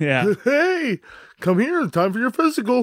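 Putting on a character voice, a man talks at a fairly slow pace in an extremely high pitch that swings very widely. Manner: creepy, sinister.

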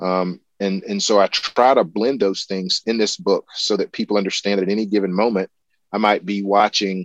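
In a South Carolina accent, a man speaks with fairly low pitch and monotone, flat intonation. The sound is dry and close with no echo, over a quiet background. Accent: Southern US (South Carolina). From US South, rural South Carolina. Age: 50s. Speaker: ornithologist and professor. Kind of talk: interview conversation. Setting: remote call.

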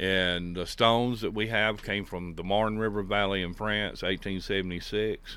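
A man with a Southern US accent speaks in a fairly low voice, his intonation flat and monotone. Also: moderate pace. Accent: Southern American. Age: 60s. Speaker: miller. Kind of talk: interview. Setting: on location at a mill.

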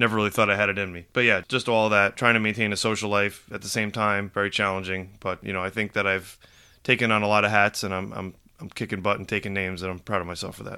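A man speaks very fast in a fairly low, monotone voice with a flat intonation and a bright, sharp tone, on a very clean recording with a silent background. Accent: American. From New York, Rockland County. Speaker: podcast co-host, widower. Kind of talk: casual chat.

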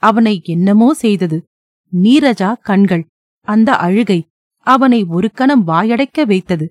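With a quiet backdrop, a natural voice reads aloud with lively intonation.

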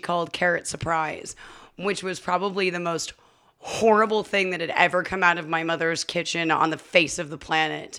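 A woman with an American accent, medium pitch and a bright, sharp tone, with ordinary pitch variation, in a very clean recording with a silent background. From Las Vegas, Nevada. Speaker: bartender. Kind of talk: casual chat. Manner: loud; animated.

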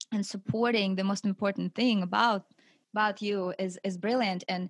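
Recorded very cleanly against a silent background, a woman with a Russian accent speaks at a medium pitch with fairly even intonation, dry and close with no echo. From Siberia, Russia. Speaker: wife of author and coach. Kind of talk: casual interview.

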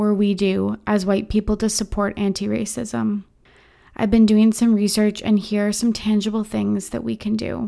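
In a very clean recording with a silent background, a woman with a medium pitch and a dark, mellow tone talks at a moderate pace. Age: 20s. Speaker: podcast host. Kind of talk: scripted statement. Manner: earnest, measured.

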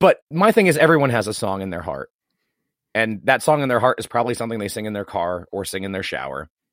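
A man with a medium-pitched voice talks at a very fast pace, his pitch swinging very widely and his loudness rising and falling sharply. The recording is very clean and dry, close-miked with no echo and a silent background. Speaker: podcast host. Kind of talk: casual chat.

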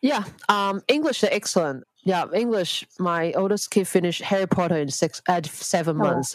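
Speaking at a moderate pace with hardly any pauses, a woman with a Hong Kong accent uses a medium pitch and lively intonation in a dry, close sound with no echo. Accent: Hong Kong Cantonese-accented English. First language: Cantonese. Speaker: homeschooling mother. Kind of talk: interview conversation. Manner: halting, hesitant non-native phrasing.

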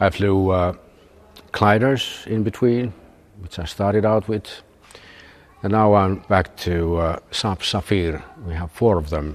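A man's fairly low voice with ordinary pitch variation, a fairly slow pace and long, frequent pauses. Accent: Finnish. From Finland, Turku. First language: Finnish. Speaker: retired military and airline pilot. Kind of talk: interview. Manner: halting, many filler sounds.

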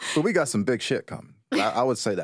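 With an animated, playful tone and a medium pitch, a man talks at a fairly quick pace in a very clean recording with a silent background. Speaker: podcast co-host. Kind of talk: casual banter podcast. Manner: joking, animated, playful.

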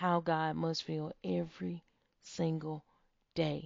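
A woman speaks with a warm tone. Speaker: podcast host. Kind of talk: faith-based pep talk with guided visualization exercise. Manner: warm, earnest, encouraging; emphatic, affirming, repeating key phrases.

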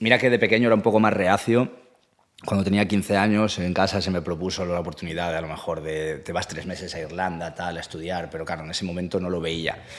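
A man talks very fast in a very deep, low voice. His intonation stays fairly even. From Asturias, Spain. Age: 30s. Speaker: musician. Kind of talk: casual chat.

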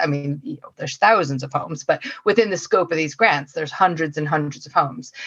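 A woman with an American accent speaks at a fairly low pitch with ordinary pitch variation amid noticeable background noise. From US, Oregon. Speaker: council energy officer. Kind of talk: casual chat.

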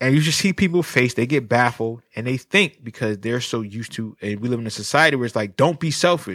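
On a very clean recording with a silent background, a man with a normal speaking voice talks at a medium pitch and a fairly quick pace, with lively intonation and hardly any pauses. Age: 30s. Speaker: licensed professional counselor. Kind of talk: casual chat.

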